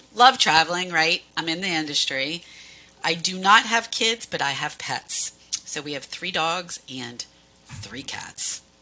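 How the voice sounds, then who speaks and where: A woman with an American accent speaks at a fairly slow pace, her loudness swinging widely. Noticeable background noise runs underneath. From Pennsylvania, US Northeast. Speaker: cruise line sales manager. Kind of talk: casual interview.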